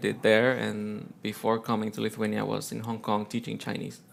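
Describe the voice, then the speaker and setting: A man talks at a fairly quick pace. He has a Spanish accent. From Colombia, Bogota. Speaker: teacher and amateur musician. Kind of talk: interview.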